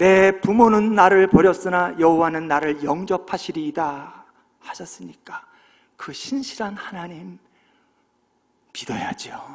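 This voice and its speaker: Speaking at a very slow pace with long, frequent pauses, a man with a high pitch shows ordinary pitch variation and big swings in loudness. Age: 60s. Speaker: pastor. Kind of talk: sermon.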